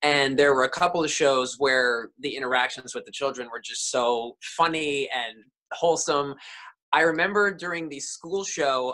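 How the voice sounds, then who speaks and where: A man speaks at a moderate pace with a bright, sharp tone and ordinary pitch variation. His loudness swings widely against a quiet background. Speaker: actor, remote interview guest. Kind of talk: interview answer. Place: home room. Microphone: webcam.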